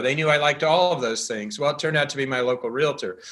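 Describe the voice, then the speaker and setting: Bright and sharp in tone, a man with an American accent speaks at a fairly high pitch with ordinary pitch variation. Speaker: real estate news founder. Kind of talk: interview. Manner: fast; animated.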